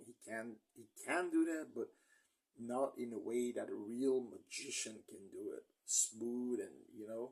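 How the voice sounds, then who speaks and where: Here a man speaks with a non-native accent. His pace is fairly slow. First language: not English. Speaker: movie reviewer. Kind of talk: casual movie review monologue. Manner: halting, stumbling over words.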